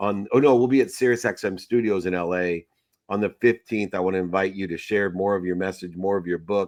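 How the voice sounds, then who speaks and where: A normal speaking voice delivers the words at a fairly quick pace, its intonation fairly even. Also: man, fairly low pitch for a man. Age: 50s. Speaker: podcast host. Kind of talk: casual chat.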